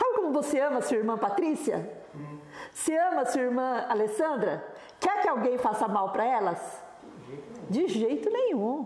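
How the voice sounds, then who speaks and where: A high-pitched woman speaks fairly slowly with very wide pitch swings, very even loudness, and long, frequent pauses, amid audible room echo and noticeable background noise. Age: 70s. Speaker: pastor's widow. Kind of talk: interview.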